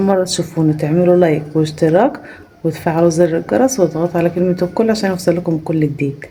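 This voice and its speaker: A soft-spoken woman's fairly low voice with ordinary pitch variation, amid noticeable background noise. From rural Egypt. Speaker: family vlogger. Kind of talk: vlog. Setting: family home, early morning. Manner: soft-spoken, lowered voice; animated.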